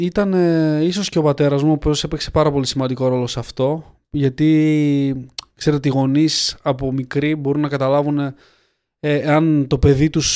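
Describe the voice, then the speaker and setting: A man speaks in a dark, mellow tone. His intonation stays monotone and flat. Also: fairly high pitch for a man, moderate pace. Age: 20s. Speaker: clothing company founder. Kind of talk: interview.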